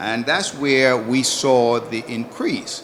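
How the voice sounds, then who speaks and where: Medium pitch from a man talking at a fairly slow pace, noticeable background noise throughout. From Antigua. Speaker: citizenship consultant. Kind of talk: panel discussion.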